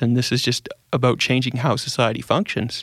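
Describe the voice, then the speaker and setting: A man at medium pitch speaks with an Albertan accent on a very clean recording with a silent background. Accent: Canadian (Alberta). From Edmonton, Alberta, Canada. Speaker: accountant and paracyclist. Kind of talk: interview.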